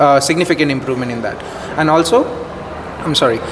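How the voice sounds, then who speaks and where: Over noticeable background noise, a man with an Indian accent talks very fast with ordinary pitch variation. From India, Indore, Madhya Pradesh. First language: Hindi. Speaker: business school student. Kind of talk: interview.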